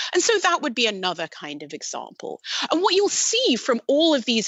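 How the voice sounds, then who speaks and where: Speaking at a moderate pace with a British accent, a woman swings her pitch very widely over noticeable background noise. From Britain. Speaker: machine learning researcher. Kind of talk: podcast interview.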